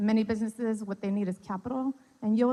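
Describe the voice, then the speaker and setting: A woman's dark, mellow voice at a medium pitch, with fairly even intonation. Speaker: city economic development official. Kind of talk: public presentation. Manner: fast. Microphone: mic cutting out.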